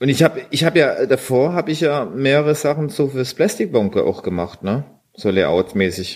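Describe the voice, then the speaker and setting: A man speaks with very wide pitch swings. His voice carries vocal fry. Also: fairly high pitch for a man, moderate pace. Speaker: internet radio host. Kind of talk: casual chat.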